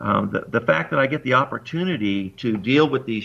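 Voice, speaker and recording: This voice has a bright, sharp tone with vocal fry. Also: man. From US West Coast, Long Beach California. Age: 60s. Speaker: amateur radio operator. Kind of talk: interview. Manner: halting, many fillers.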